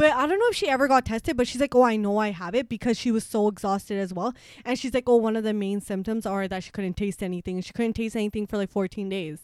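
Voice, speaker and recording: With a Toronto accent, a woman talks very fast at a fairly high pitch, hardly pausing, in a dry, close sound with no echo. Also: ordinary pitch variation. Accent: Canadian English, Toronto. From Scarborough, Toronto, Canada. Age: 20s. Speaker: podcast co-host. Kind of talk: casual chat.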